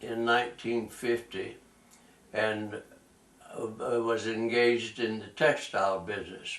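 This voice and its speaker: A man with a North Carolina accent at a medium pitch and a very slow pace, over noticeable background noise. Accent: US Southern (North Carolina). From North Carolina (Tarboro). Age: 80s+. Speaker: war veteran. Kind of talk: oral history interview. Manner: halting, with many fillers.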